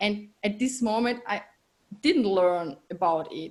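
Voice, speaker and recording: Somewhat breathy, a woman talks at a fairly high pitch and a fairly slow pace. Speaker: podcast guest. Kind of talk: interview. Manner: halting.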